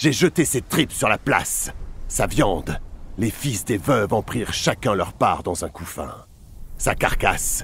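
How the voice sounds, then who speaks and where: Vocal fry, very wide pitch swings, and long, frequent pauses at a fairly slow pace. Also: man, medium pitch for a man. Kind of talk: epic mythic narration, dramatized reading in character. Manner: solemn, measured, dramatic storytelling tone.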